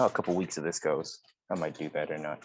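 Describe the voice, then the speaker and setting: A man is speaking. His pace is fairly quick. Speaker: podcast co-host. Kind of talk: casual chat. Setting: college dorm lounge.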